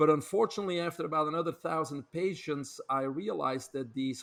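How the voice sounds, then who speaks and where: Someone with a Belgian accent speaks at a moderate pace with ordinary pitch variation. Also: man. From Belgium. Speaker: health author and speaker. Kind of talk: podcast interview.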